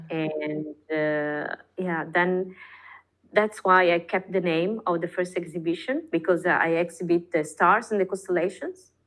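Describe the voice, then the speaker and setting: With an Italian accent, a woman speaks fairly slowly at a fairly low pitch and with fairly even intonation. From northern Italy, Padua countryside. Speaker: artist. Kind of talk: casual interview chat. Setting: podcast. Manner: halting, many fillers.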